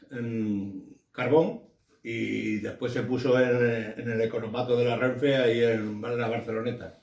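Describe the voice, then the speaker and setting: A man's medium-pitched voice, monotone and flat, at a very slow pace with audible room echo. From Andalusia, Huelva province (Gibraleón). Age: 60s. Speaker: trade union activist. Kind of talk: oral history interview. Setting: at his home. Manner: halting.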